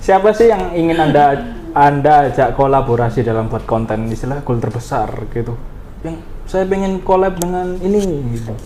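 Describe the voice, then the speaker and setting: Noticeable background noise accompanies a man speaking at a moderate pace. His fairly high voice moves in very wide pitch swings. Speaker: podcast host. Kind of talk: podcast hosting, casual talk.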